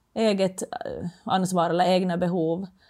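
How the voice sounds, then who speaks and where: A woman's unremarkable speaking voice, fairly low in pitch, with fairly even intonation, on a very clean recording with a silent background. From Finland. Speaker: former floorball player, entrepreneur. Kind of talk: casual interview.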